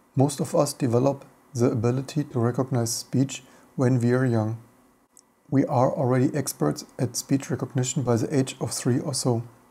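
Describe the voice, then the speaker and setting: In a German accent, a man speaks at a medium pitch and moderate pace, his tone dark and mellow, somewhat breathy, with fairly even intonation. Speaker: tech video host. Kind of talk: reading training text aloud for dictation software.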